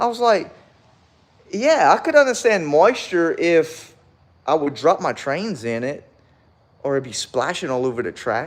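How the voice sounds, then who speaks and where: A man with a high-pitched voice speaks in an animated tone at a fairly slow pace, with very wide pitch swings, big swings in loudness and long, frequent pauses. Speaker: model railroad hobbyist streamer. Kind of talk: casual live stream chat.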